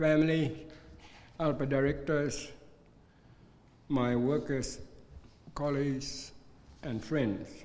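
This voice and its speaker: A man's fairly high voice at a very slow pace, with fairly even intonation, long and frequent pauses, and audible room echo. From Arnhem Land, Northern Territory, Australia. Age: 70s. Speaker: community organisation chairman and minister. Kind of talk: formal speech. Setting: reception with audience. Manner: formal.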